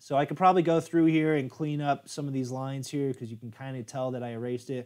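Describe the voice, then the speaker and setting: A man with an American accent speaks at a fairly high pitch with ordinary pitch variation, recorded very cleanly against a silent background. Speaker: software tutorial youtuber. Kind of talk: live stream tutorial. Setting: live stream. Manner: casual, filler-heavy.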